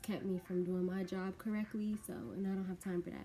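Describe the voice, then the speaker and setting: Her voice is somewhat breathy and dark and mellow in tone, as a woman talks at medium pitch with fairly even intonation. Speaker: beauty vlogger and bartender. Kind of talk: casual get-ready-with-me vlog.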